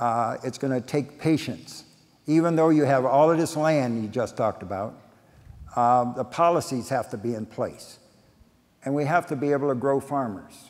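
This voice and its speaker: Speaking in an unremarkable speaking voice, a man keeps a medium pitch, a moderate pace and ordinary pitch variation. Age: 60s. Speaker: urban farmer. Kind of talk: panel discussion.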